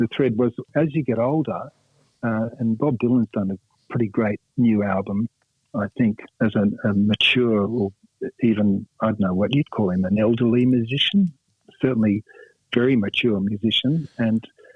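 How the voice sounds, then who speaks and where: This man speaks in an Australian accent at a moderate pace. He leaves long, frequent pauses. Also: medium pitch for a man, ordinary pitch variation. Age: 60s. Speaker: rock guitarist. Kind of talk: radio interview. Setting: phone call. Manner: halting, many fillers.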